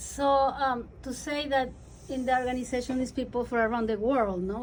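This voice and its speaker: An enthusiastic woman with a Spanish accent and a high pitch, in audible room echo. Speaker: radio host. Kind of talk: interview.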